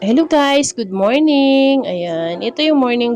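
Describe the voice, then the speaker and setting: Very wide pitch swings at a very slow pace, with music in the background. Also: woman. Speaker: vlogger and milk tea shop owner. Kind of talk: casual vlog narration. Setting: in her shop. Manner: laughing.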